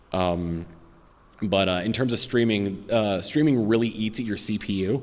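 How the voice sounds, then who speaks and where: Audible room echo surrounds a voice with fairly even intonation at a moderate pace. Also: man. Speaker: YouTube gamer and streamer. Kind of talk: convention Q&A panel. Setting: stage with audience. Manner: halting, stutters with many fillers.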